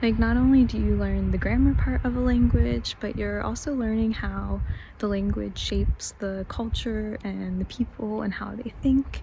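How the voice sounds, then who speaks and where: A woman speaks in an American accent at a moderate pace, with noticeable background noise present. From United States. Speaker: vlogger. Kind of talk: casual talk to camera.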